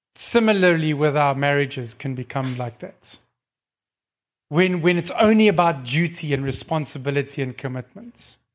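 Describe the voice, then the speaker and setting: At a moderate pace, a man with a normal speaking voice speaks at a fairly high pitch with ordinary pitch variation. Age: 40s. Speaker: lay preacher. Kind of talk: sermon.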